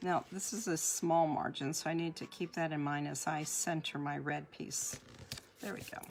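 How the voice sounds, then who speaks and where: A woman speaks at a very deep, low pitch. Her pace is moderate and her pitch variation ordinary. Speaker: card making demonstrator. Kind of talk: live crafting tutorial.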